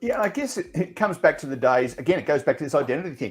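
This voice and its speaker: A very fast, somewhat breathy male voice with an Australian accent and very wide pitch swings. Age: 60s. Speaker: radio presenter and media consultant. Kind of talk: casual chat.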